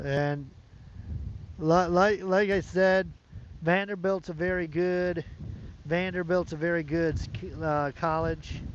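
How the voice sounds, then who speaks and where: Loud and with an American accent, a man talks at a fairly slow pace in a high pitch with fairly even intonation. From United States. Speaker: sports channel streamer. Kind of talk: casual live-stream chat. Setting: outdoors. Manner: hesitant, many fillers and repetitions.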